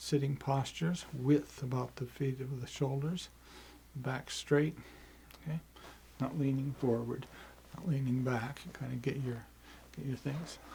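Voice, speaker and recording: A man speaks at a fairly slow pace with long, frequent pauses, in a somewhat breathy, dark, mellow tone. His medium pitch stays in a monotone, flat intonation. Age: 70s. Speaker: qigong teacher. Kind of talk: tutorial. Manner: halting.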